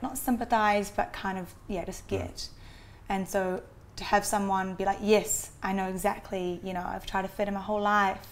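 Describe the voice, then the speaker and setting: In a New Zealand accent, a woman speaks at a moderate pace and medium pitch with monotone, flat intonation. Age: 20s. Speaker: adoptee. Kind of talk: interview.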